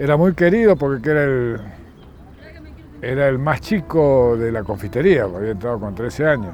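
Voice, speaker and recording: A man speaks at a medium pitch, leaving long, frequent pauses. Noticeable background noise runs beneath him. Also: lively intonation, moderate pace. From Argentina, San Juan / Mendoza (Cuyo). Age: 60s. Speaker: war veteran. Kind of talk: interview testimony.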